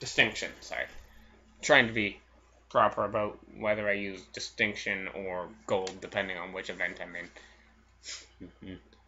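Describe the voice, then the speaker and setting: Quiet speech moves at a moderate pace with fairly even intonation, big swings in loudness and long, frequent pauses. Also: man. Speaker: gaming video creator. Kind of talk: gameplay commentary.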